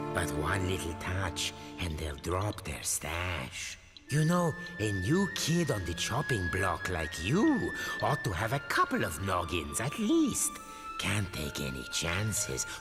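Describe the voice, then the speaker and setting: A low-pitched, cartoonish character voice speaks at a fairly slow pace over clear music in the background. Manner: dry, sarcastic.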